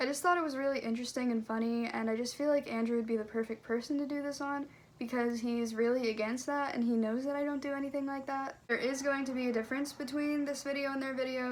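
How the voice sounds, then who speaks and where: Over noticeable background noise, a woman talks very fast at a high pitch, her intonation fairly even. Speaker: vlogger. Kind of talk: casual vlog chat. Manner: casual, lots of 'like'.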